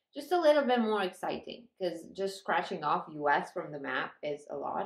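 A woman at a moderate pace, over a quiet background with audible room echo. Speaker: book vlogger. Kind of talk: casual vlog chat. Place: home room.

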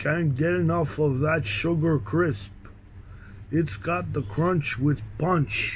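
A man speaks at a very slow pace with vocal fry. Light background noise is present. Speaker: vlogger. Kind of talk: casual vlog chat. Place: garden. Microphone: phone near.

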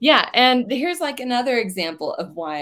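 With an American accent, a woman speaks in a bright, sharp tone. Her pitch swings very widely. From US, partly raised in Mexico. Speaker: online ESL teacher. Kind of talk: tutorial.

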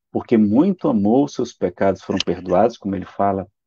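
A man with lively intonation, a dry sound with no echo and light background noise. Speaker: spiritist lecturer. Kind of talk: lecture. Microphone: video call.

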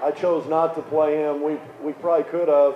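A man speaks at a fairly quick pace in a monotone, flat intonation. There is audible room echo and light background noise. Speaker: basketball coach. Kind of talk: interview answer. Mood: relaxed, storytelling, amused. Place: bar. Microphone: handheld.

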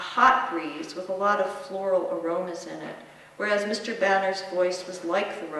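The speaker is reading aloud in a natural voice, keeping a fairly even intonation.

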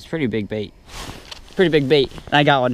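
A man at a moderate pace with ordinary pitch variation, dry sound with no echo, and light background noise. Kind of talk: casual vlog chat. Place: open country. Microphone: phone near.

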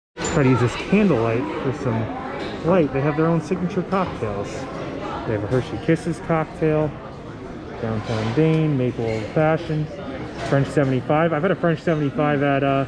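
A man at a fairly slow pace with ordinary pitch variation, crowd noise in the background. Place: bar. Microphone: phone near.

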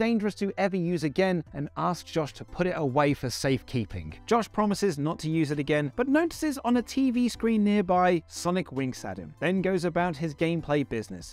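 A man's high-pitched voice at a fairly quick pace, dry with no echo, faint music in the background. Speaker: presenter. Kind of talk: documentary narration to camera. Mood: comic flustered aside.

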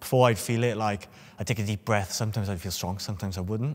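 A man speaks at a fairly low pitch. His intonation stays fairly even. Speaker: strength coach. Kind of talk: casual vlog tutorial. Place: gym.

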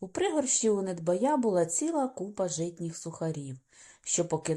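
Text is read aloud in a voice that sounds natural.

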